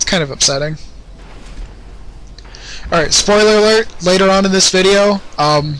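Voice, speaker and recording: A high-pitched man at a moderate pace with very even loudness, ordinary pitch variation, long, frequent pauses, and noticeable background noise. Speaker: game commentator. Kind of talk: casual game commentary.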